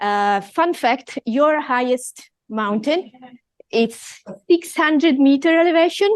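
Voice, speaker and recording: A woman's high voice with an Italian accent, lively intonation and a very slow pace. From Italy. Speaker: professor. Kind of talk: lecture.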